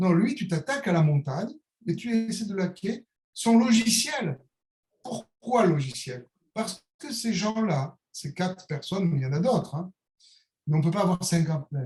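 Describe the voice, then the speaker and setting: This man talks at a fairly slow pace with lively intonation. His pitch is high for a man. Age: 60s. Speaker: calligrapher and author. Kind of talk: interview. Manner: hesitant, many repetitions; animated.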